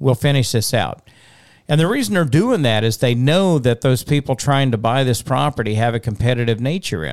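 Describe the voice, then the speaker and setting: The recording is very clean, with a silent background, and a man talks at a moderate pace. He has an ordinary speaking voice at medium pitch, with lively intonation. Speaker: auctioneer podcast host. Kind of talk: casual chat. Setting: studio. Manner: chatty, joking.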